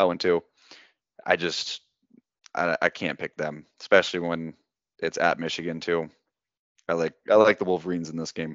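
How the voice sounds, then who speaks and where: A man with a very deep, low pitch talks at a moderate pace in a monotone, flat intonation, leaving long, frequent pauses. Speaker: lacrosse picks podcast host. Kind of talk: casual sports analysis chat.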